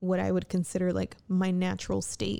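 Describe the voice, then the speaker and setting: A woman with a dark, mellow tone and monotone, flat intonation. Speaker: solo podcaster. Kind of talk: casual monologue. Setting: home recording at night. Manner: rambling, laughs often.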